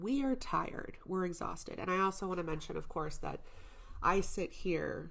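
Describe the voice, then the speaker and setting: A woman's voice carries audible echo from the room. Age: 30s. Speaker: podcast host. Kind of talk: casual solo podcast monologue. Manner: casual, conversational.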